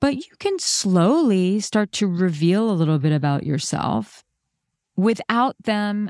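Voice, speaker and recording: Recorded dry and close with no echo, a woman with a medium pitch talks at a fairly slow pace with lively intonation. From New York. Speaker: relationship coach, podcast host. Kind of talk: live coaching conversation. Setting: call. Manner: gentle.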